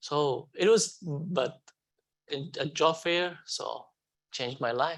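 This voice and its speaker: A man speaks at a very slow pace with a non-native accent, his pitch fairly high. His pitch moves in an ordinary way, and he takes long, frequent pauses. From Afghanistan. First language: not English. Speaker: refugee hotel security manager. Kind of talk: onstage interview testimony. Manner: halting.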